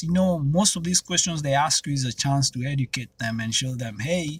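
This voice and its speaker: The recording is very clean with a silent background, carrying a man with a Kenyan accent. His voice is somewhat breathy and fairly high, with lively intonation. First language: Kenyan mother tongue, also Swahili. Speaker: YouTuber. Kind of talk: casual vlog monologue. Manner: conversational, with frequent fillers.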